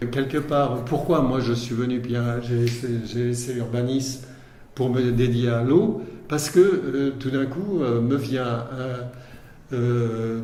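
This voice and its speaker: Noticeable background noise and audible room echo surround the speech. The man's pitch is medium. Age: 70s. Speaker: water researcher, former urban planner. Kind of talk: interview. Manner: halting, many hesitations.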